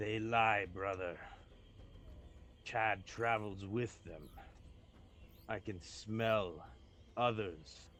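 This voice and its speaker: Putting on a character voice, a man speaks at a fairly low pitch and a very slow pace, with long, frequent pauses and clear background noise. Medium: actual play. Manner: cold, menacing.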